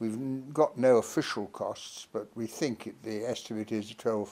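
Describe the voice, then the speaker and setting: A man speaks with a British accent in a dark, mellow tone. His pace is fairly slow. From Britain. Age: 80s+. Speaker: politician and peace campaigner. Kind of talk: political appeal to camera. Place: home room. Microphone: phone near.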